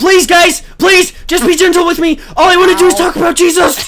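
A man's put-on character voice, extremely high in pitch and fairly quick, with clear background noise. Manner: mock desperate pleading.

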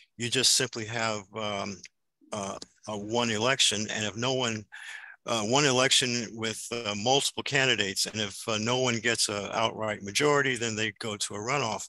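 Using an American accent, a man speaks at a medium pitch and moderate pace with fairly even intonation and a bright, sharp tone, in a dry sound with no echo against a quiet background. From Chicago South Side; Chicago. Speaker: activist. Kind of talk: panel discussion. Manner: halting. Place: home room. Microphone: video call.

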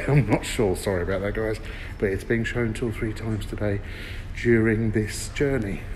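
Light background noise runs beneath a man's voice. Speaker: travel reviewer. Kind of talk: casual walkthrough commentary. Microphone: phone near.

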